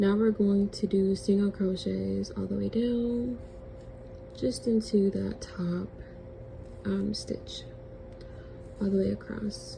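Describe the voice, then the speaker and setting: Through noticeable background noise, a woman speaks at a very slow pace with long, frequent pauses. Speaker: crochet tutorial creator. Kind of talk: tutorial; casual chat. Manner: casual.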